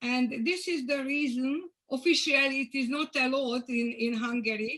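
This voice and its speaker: A woman uses a raised, projected voice with a bright, sharp tone and high pitch. She speaks at a fairly slow pace. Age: 70s. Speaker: physician. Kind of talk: Q&A session. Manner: halting.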